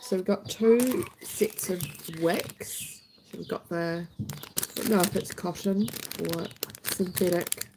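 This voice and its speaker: Noticeable background noise runs beneath speech delivered at a very slow pace. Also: woman, medium pitch for a woman, ordinary pitch variation. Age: middle-aged. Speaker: YouTube creator. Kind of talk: casual live-stream chat.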